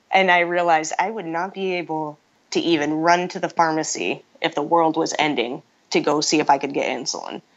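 Fairly quick in pace, a woman talks at a fairly low pitch. She has an ordinary speaking voice. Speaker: MMA fighter. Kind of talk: interview answer. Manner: soft, gentle-sounding.

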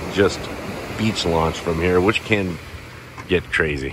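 A man with a very deep, low voice speaks at a fairly slow pace. The sound is dry with no echo, though background noise is noticeable. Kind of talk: casual vlog commentary. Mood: mildly indignant, then wary. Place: beach. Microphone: phone near.

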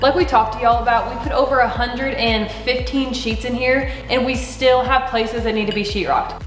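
A woman talks at a high pitch. Clear music plays behind her, and room echo is audible. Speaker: homestead vlogger. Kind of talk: casual vlog chat. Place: home room. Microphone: camera far.

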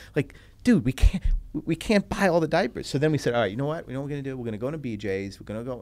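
A man with an American accent talks at a very fast pace with lively intonation. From US Northeast (New York and New Jersey). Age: 40s. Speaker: entrepreneur and business executive; guest. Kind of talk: casual interview. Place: studio. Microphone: studio mic.

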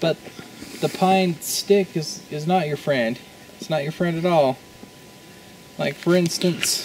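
Amid noticeable background noise, a man speaks very slowly at a high pitch. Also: ordinary pitch variation. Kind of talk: comedic tutorial monologue. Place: forest. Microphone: camera far.

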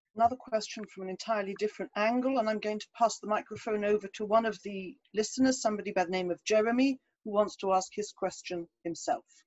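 Very fast speech with an English accent, ordinary pitch variation and big swings in loudness comes through against a quiet background. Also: woman, fairly high pitch for a woman. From England. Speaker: moderator. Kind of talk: Q&A moderation.

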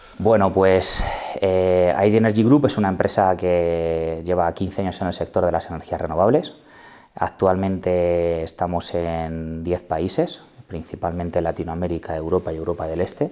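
At a fairly slow pace, a man talks in a very deep, low voice with a dark, mellow tone. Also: fairly even intonation. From Spain, Ciudad Real; Spain. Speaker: company CEO; guest. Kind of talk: interview. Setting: bar set. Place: studio. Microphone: lapel.

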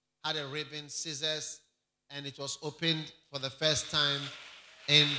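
A man talks at a moderate pace, and noticeable background noise is audible behind him. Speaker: pastor. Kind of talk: sermon. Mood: upbeat report. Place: church. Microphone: handheld.

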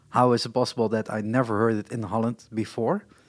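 A man speaks in a medium pitch with a Dutch accent. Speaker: podcast host. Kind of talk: casual chat. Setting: live at a festival. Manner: halting.

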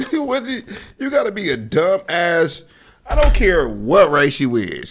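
The background stays quiet while a man talks. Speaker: streamer. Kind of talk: reaction commentary. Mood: amused, incredulous, laughing. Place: home room.

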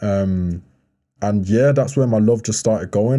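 A man speaks in a dark, mellow tone at medium pitch with ordinary pitch variation. His pace is moderate, and the background is quiet. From Birmingham, England. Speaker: professional basketball player and model; podcast guest. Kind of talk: casual interview chat. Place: studio. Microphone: studio mic.

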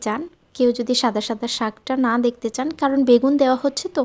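Warm-toned speech with ordinary pitch variation on a very clean recording with a silent background. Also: woman. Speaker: home cooking vlogger. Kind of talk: daily vlog cooking narration. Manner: chatty, warm.

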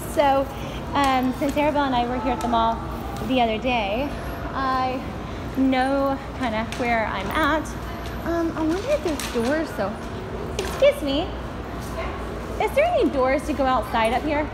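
A woman talks at a moderate pace with ordinary pitch variation, leaving long, frequent pauses. Noticeable background noise runs underneath. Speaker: guide dog handler. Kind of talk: casual vlog chat. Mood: cheerful, encouraging. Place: shop. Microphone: phone near.

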